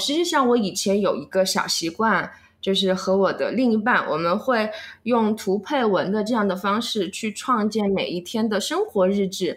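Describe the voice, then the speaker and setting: A somewhat breathy woman's voice, fairly high in pitch, with ordinary pitch variation and a moderate pace. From Chengdu, Sichuan. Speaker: vlogger. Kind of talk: interview.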